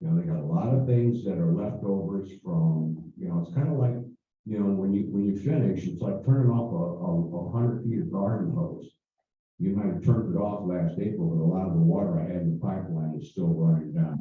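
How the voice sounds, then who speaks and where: Speaking at a fairly quick clip in an American accent, a man with fairly low pitch uses lively intonation while audible room echo surrounds him. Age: 70s. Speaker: former mayor. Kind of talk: speech to a club meeting. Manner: halting.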